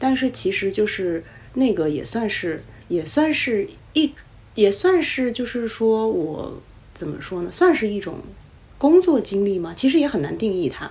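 A woman's fairly high voice in a Beijing accent, at a fairly slow pace with very wide pitch swings. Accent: Beijing Mandarin. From Beijing, China. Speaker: podcast guest. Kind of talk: casual chat.

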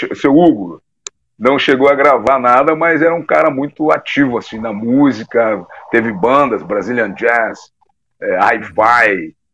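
At a fairly slow pace, a man with a medium pitch talks in a normal speaking voice with lively intonation. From southern Brazil, Porto Alegre. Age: 50s. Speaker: musician. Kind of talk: casual chat.

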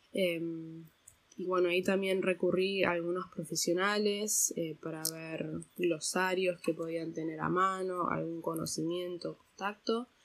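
Flat and monotone, a woman speaks at a fairly low pitch. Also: fairly slow pace. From Argentina, raised partly abroad (diplomat's daughter). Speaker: translator. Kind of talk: interview.

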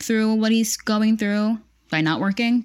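Someone with an American accent is heard on a very clean recording with a silent background. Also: woman. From Pennsylvania, US. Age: 30s. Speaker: online vintage shop owner. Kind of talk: casual chat.

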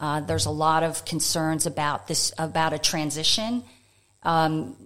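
A woman with an American accent, a very deep, low pitch and a moderate pace, on a very clean recording with a silent background. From United States. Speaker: economist. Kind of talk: interview. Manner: calm.

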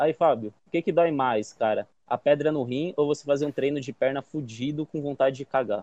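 Using a plain, everyday voice, a man with a fairly high pitch speaks at a moderate pace with ordinary pitch variation. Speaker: podcast co-host, psychoanalyst. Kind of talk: casual chat.

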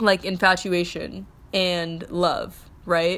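On a very clean recording with a silent background, a woman speaks at a fairly low pitch in a monotone, flat intonation. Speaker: podcast host. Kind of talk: casual solo monologue. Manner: rambling, filler-heavy.

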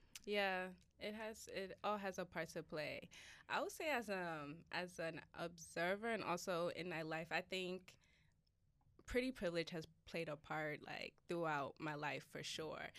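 In a very clean recording with a silent background, a woman with an American accent has a plain, everyday voice, fairly low in pitch with ordinary pitch variation, speaking at a fairly slow pace. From United States. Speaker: podcast host. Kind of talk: casual interview chat.

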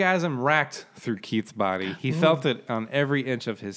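The speaker reads aloud in a natural voice. The intonation is lively.

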